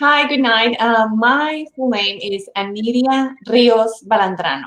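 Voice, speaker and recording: Speaking at a very slow pace with a Mexican accent, a woman uses a fairly high voice and lively intonation. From Mexico, Monterrey. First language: Spanish. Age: 40s. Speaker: interview guest. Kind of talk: casual interview.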